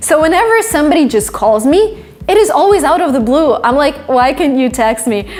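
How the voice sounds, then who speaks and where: A woman with a Russian accent, high-pitched and fairly quick, her pitch swinging very widely while her loudness stays very even, with noticeable background noise. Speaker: English teacher on video channel. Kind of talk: tutorial.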